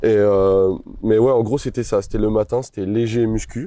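Against a quiet background, a man with a dark, mellow tone speaks at a medium pitch and moderate pace, with fairly even intonation and a dry, close sound with no echo. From France, La Rochelle. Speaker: weightlifter. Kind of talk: casual chat.

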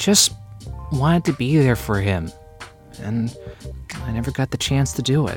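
Over clear background music, a man at medium pitch puts on a whiny character voice with very wide pitch swings, a moderate pace and long, frequent pauses. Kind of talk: rom-com audio drama. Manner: whiny, petulant, self-pitying.

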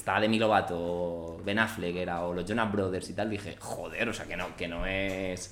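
At a moderate pace and with fairly even intonation, the voice comes through audible room echo and noticeable background noise. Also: man. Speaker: podcast host. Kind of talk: casual chat.

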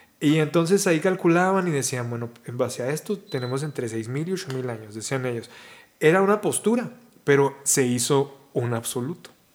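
A plain, everyday voice from a man, moderate in pace, fairly high in pitch, with lively intonation. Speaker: podcast host. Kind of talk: casual conversation. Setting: outdoors in a park.

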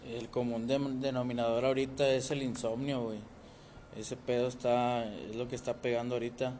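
A man with a Mexican accent speaks in a flat monotone at a moderate pace. Audible room echo surrounds him. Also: medium pitch for a man. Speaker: podcast host. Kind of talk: casual chat. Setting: podcast recording app.

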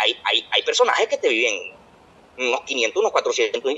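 A man's speech comes with noticeable background noise behind it. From Venezuela. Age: 20s. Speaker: podcast co-host. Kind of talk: casual chat.

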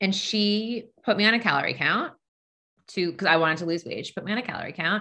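Talking at a very fast pace with lively intonation, a woman uses a medium-pitched voice with a bright, sharp tone in a Long Island accent. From US Northeast, Long Island, New York. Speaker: dietitian. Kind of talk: podcast interview.

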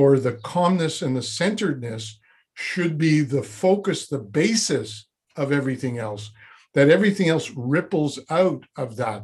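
Somewhat breathy, a man with a fairly high pitch speaks at a fairly slow pace. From Quebec, Montreal. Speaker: former Zen monk, personal development coach. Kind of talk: interview conversation.

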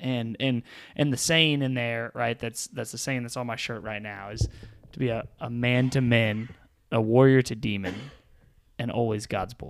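A man speaks at a moderate pace in a normal speaking voice, with fairly even intonation. The recording is very clean, with a silent background. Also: medium pitch for a man. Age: 30s. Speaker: podcast host and youth ministry staff. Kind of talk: casual chat.

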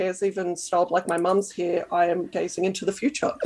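A woman talks with an Australian accent. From Canberra, Australia. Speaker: sewing blogger. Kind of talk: casual interview chat.

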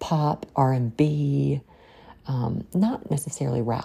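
With an extremely low pitch, a woman speaks in a dark, mellow tone that carries vocal fry, a husky, rough edge and ordinary pitch variation.

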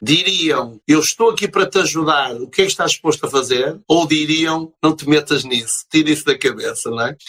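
A man with a fairly high pitch and ordinary pitch variation talks at a moderate pace with hardly any pauses. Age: 50s. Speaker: business consultant and motivational speaker. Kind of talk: interview.

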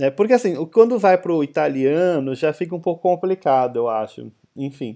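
This man's voice sits fairly high, with a dark, mellow tone. His intonation is lively and his pace moderate. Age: 30s. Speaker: podcast host. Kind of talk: casual chat.

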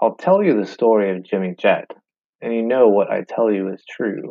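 A man talks at a moderate pace and a fairly low pitch. He has a normal speaking voice. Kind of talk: poem reading. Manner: playful, storytelling, sing-song rhythm.

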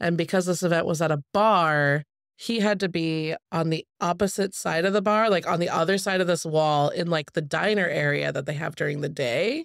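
This very clean recording, silent in the background, carries speech at a moderate pace. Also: woman, fairly low pitch for a woman, ordinary pitch variation. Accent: West Coast. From US Pacific Northwest, Spokane, Washington. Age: 30s. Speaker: competitive pinball player. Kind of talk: casual chat.

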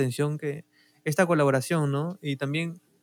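This man's voice sits at a fairly high pitch and stays monotone with flat intonation. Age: 20s. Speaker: podcast co-host. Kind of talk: casual chat.

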